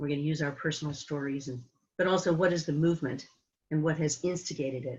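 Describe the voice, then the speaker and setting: A woman with a West Coast accent speaks at a very deep, low pitch. Her pace is fairly quick and her intonation fairly even. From San Francisco, California. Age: 70s. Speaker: climate activist. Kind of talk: presentation. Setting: video call.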